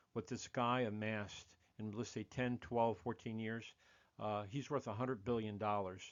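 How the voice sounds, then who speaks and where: A man with a plain, everyday voice at medium pitch, moderate pace and fairly even intonation. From United States. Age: 60s. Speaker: podcast host. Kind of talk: monologue podcast commentary.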